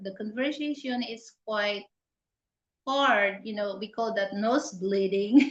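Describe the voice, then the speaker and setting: This woman speaks with a Filipino accent at a medium pitch, with ordinary pitch variation. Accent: Tagalog-accented English. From Philippines. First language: Tagalog. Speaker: channel host. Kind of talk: casual live interview chat. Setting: live stream. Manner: halting, many fillers.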